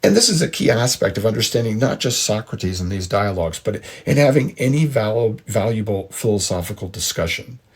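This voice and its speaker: With an American accent, a man speaks at a fairly quick pace with hardly any pauses, his fairly low, somewhat breathy voice carrying lively intonation. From United States. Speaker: podcast host, history and philosophy lecturer. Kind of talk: lecture. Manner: measured, explanatory.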